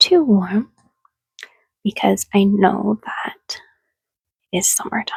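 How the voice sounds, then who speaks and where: Soft-spoken and gentle in tone, a woman speaks at a very slow pace. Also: dry, close sound with no echo. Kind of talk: casual ASMR talk to listener, roleplay. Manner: soft-spoken, gentle, relaxing.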